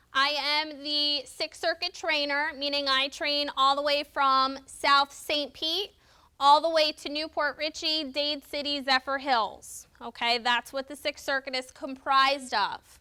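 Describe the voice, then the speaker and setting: Raised and projected, a woman's high voice carries a bright, sharp tone with fairly even intonation and a dry, close sound with no echo. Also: fairly slow pace. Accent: American. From New Jersey. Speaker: volunteer trainer. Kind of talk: training class. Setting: classroom with sign interpreters and cameras.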